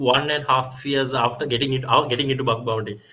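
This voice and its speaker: Noticeable background noise sits behind the speech. A man talks at a fairly quick pace with a Sri Lankan accent. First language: Sinhala. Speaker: guest lecturer, security researcher. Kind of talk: guest lecture, live Q&A. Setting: live online stream. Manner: halting, many fillers and repeats.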